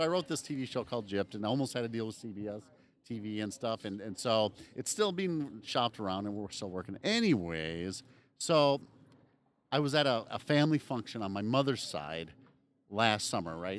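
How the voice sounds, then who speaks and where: A man speaks in a normal speaking voice with lively intonation. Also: medium pitch for a man, moderate pace. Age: 40s. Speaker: podcast co-host. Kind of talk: casual chat. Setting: outdoors.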